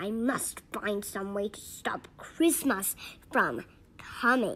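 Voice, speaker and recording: A woman's put-on, growling character voice at medium pitch and a very slow pace. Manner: growling, snarling.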